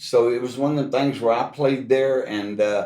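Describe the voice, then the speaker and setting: Here a man talks with a Texan accent. His pitch moves with ordinary variation. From Texas, Houston. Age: 60s. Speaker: guitarist. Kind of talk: casual interview.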